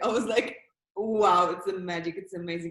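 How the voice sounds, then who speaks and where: At a moderate pace, a woman speaks with a Polish accent. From Poland, Warsaw. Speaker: actress. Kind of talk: interview. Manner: halting.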